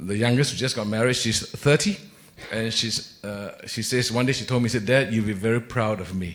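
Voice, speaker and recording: Over noticeable background noise, a man talks at a fairly quick pace at medium pitch with ordinary pitch variation. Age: 60s. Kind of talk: panel discussion. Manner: hesitant, many fillers.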